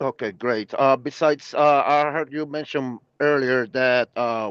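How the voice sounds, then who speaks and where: A man with a Portuguese accent speaks at medium pitch with fairly even intonation, in a dry, close sound with no echo over a quiet background. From Puerto Rico, Brazilian family. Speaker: prospective broker asking questions. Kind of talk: Q&A on video call. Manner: halting, many fillers.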